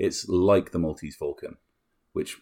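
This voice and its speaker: The recording is very clean, with a silent background. A man with a British accent speaks at a moderate pace. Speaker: film podcast host. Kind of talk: casual chat.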